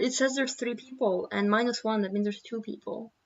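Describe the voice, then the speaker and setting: A woman speaks at a fairly high pitch. Her pitch varies in an ordinary way. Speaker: digital artist streaming. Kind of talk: casual live stream chat. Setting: live stream. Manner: giggly.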